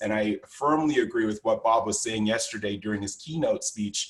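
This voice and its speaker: Against a quiet background, a man with a somewhat breathy voice talks fairly quickly at medium pitch with fairly even intonation. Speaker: conference workshop instructor. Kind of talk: lecture. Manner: fast.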